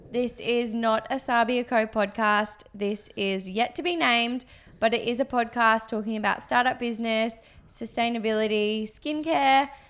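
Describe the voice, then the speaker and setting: Using an ordinary speaking voice, a woman talks at a moderate pace with a fairly high pitch and fairly even intonation. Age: 20s. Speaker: podcast host and business co-founder. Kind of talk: casual chat; scripted intro.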